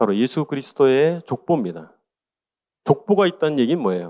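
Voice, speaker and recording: Over a quiet background, a man with a medium pitch and a dark, mellow tone swings his pitch very widely. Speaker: pastor teaching a Bible study course. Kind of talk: lecture. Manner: conversational, rhetorical questions.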